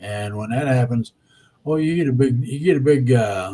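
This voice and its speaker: A man's somewhat breathy voice with a dark, mellow tone, ordinary pitch variation and a moderate pace. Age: 70s. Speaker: spiritual guest speaker. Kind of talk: casual interview chat.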